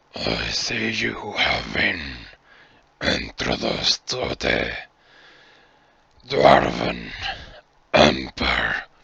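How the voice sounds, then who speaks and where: Using a put-on character voice, a man speaks very slowly in a raspy, very deep, low pitch. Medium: actual play. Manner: slow, solemn, measured.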